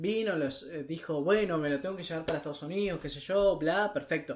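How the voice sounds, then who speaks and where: This man talks at a fairly quick pace. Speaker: podcast co-host. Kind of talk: casual chat.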